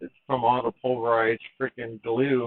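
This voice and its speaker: A man speaks at a moderate pace. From Mexican heritage. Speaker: phone repair technician. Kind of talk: live repair tutorial. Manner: casual, chatty. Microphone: mic problems noted.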